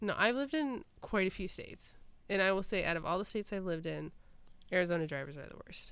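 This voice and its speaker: A woman with a Michigan accent, very fast and at a medium pitch, with lively intonation and big swings in loudness. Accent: US Midwest (Michigan). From Michigan, Clarkston suburbs. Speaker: podcast co-host. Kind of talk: casual chat.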